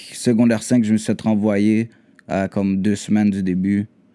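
The man talks at a fairly slow pace. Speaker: rapper. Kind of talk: casual chat.

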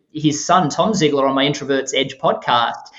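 A man speaks with an Australian accent. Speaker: author and podcast host. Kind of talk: interview.

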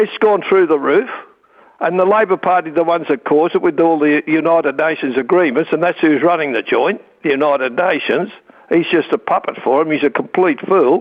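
Here a man talks with an Australian accent at a fairly high pitch. He moves at a fairly quick pace with ordinary pitch variation. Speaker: talkback caller. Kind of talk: talkback call. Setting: phone call.

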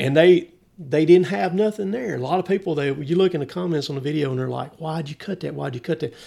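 A man with a Southern US accent, fairly high pitch, ordinary pitch variation, a dark, mellow tone and a very fast pace. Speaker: logger. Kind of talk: casual chat.

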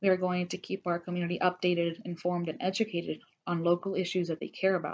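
A woman speaks very fast with an American accent and a fairly low pitch. Her intonation is monotone and flat. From Georgia, US. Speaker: political organizer. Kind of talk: interview. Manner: halting, many fillers.

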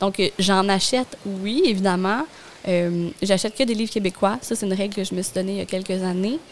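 An ordinary speaking voice from a woman, medium in pitch with ordinary pitch variation, at a fairly quick pace. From Gaspésie, Quebec. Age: 30s. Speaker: communications professional and stay-at-home mother. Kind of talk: casual interview.

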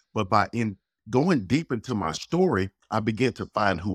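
A man with a fairly low pitch and an unremarkable speaking voice talks at a moderate pace with lively intonation. The sound is dry and close with no echo, and the recording is very clean with a silent background. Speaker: life coach. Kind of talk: casual interview conversation.

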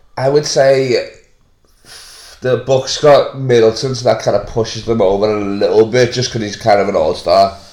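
Somewhat breathy, a man speaks at a moderate pace and a medium pitch. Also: fairly even intonation. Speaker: comedian. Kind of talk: casual banter. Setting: podcast recorded at home. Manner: joking, laughing.

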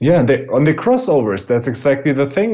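With a German accent, a man speaks at a medium pitch with ordinary pitch variation. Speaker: podcast co-host. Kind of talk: casual chat.

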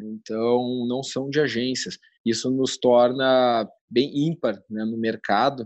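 A man's very slow speech, fairly even in intonation, is set against a quiet background. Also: medium pitch for a man. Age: 20s. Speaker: newspaper operations director. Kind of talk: interview. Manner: halting.

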